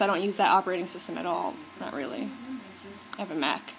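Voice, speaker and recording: Noticeable background noise sits behind a woman with an American accent. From US. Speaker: beauty vlogger. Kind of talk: casual vlog talk. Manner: animated.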